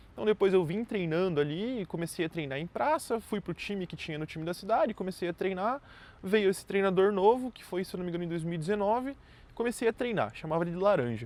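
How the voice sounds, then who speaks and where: Speaking at a very fast pace, a man with a high pitch uses lively intonation and big swings in loudness. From southern Brazil, Santa Catarina (Chapecó). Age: 20s. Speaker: entrepreneur vlogger. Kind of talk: personal story monologue. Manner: casual, conversational.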